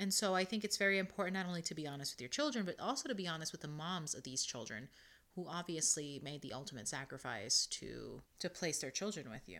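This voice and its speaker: A woman talks at a very fast pace with vocal fry. Her fairly low pitch swings very widely. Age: 30s. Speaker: podcast host. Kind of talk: solo podcast talk with article reading.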